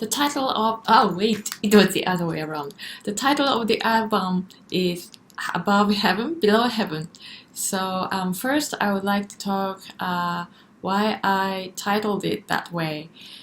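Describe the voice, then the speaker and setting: Over noticeable background noise, a woman with a Japanese accent speaks at a medium pitch and a fairly slow pace, with ordinary pitch variation. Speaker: singer. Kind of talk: casual commentary. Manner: halting.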